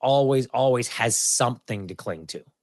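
A man with a Canadian accent, fairly high in pitch, at a fairly slow pace, in a dry, close sound with no echo. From western Canada (Alberta, then Kamloops, BC). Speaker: sports broadcaster and podcaster. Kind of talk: casual interview.

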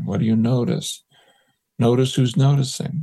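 Using a dark, mellow tone with vocal fry, a man talks at a moderate pace. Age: 70s. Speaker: psychologist and researcher. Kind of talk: interview.

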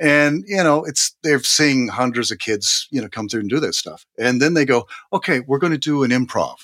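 A man speaks in a plain, everyday voice, fairly high in pitch with ordinary pitch variation. His pace is moderate, with hardly any pauses. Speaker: voice and acting coach. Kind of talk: interview conversation.

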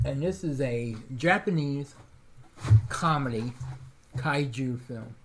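A somewhat breathy man at a medium pitch, ordinary pitch variation, a very slow pace and long, frequent pauses. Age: 40s. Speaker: podcast co-host. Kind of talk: casual chat.

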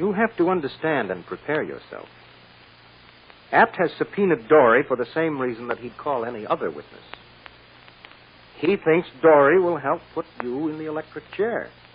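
A man's put-on character voice with a husky, rough edge, big pitch swings, and a moderate pace. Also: fairly high pitch for a man.

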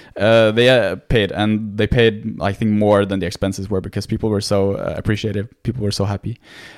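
A man with a Norwegian accent, fairly low pitched and monotone, at a fairly quick pace with hardly any pauses, on a very clean recording with a silent background. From Norway. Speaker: medical student. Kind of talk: casual interview.

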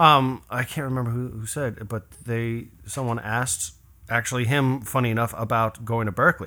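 The recording is very clean, with a silent background. A man speaks at medium pitch and a moderate pace, his tone bright and sharp. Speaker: professional trumpeter. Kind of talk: casual chat. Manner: animated.

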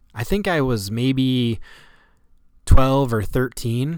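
A man with an upstate New York accent talks at a medium pitch with ordinary pitch variation. The recording is very clean, with a silent background. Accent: upstate New York American. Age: 40s. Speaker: athletic trainer and podcast host. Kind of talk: personal storytelling monologue.

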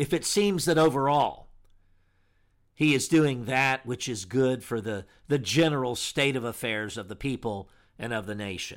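In an ordinary speaking voice, a man at medium pitch talks at a moderate pace with lively intonation. The recording is very clean and the background silent. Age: 60s. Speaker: pastor and radio host. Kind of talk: radio monologue. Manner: formal.

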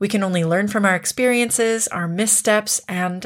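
A woman with a Canadian accent uses a normal speaking voice at medium pitch with ordinary pitch variation, recorded very cleanly over a silent background. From Canada. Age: 30s. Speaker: podcast host. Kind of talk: casual chat.

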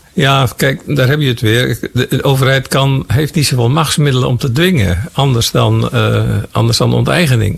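Over noticeable background noise, a man talks with hardly any pauses and very even loudness. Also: moderate pace. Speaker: former agriculture minister. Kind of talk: interview.

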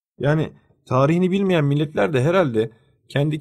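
Using a normal speaking voice, a man talks fairly quickly with ordinary pitch variation. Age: 30s. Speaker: podcast co-host. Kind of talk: casual discussion.

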